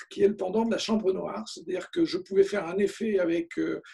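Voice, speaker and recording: A man speaks in a high pitch with lively intonation. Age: 60s. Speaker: photographer. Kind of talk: interview. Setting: video call. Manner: hesitant, many fillers.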